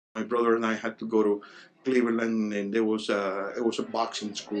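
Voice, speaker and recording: A man with a Spanish accent at a fairly quick pace and medium pitch, monotone and flat in intonation, over noticeable background noise. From Cuba. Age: 60s. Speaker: Cuban exile interviewee. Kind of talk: interview testimony.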